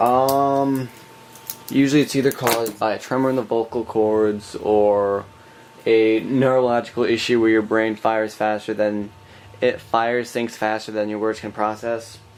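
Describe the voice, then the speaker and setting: The voice is monotone, with flat intonation and a moderate pace, heard against noticeable background noise. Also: man, medium pitch for a man. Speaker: YouTuber. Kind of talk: casual vlog monologue. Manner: rambling, halting with repetitions.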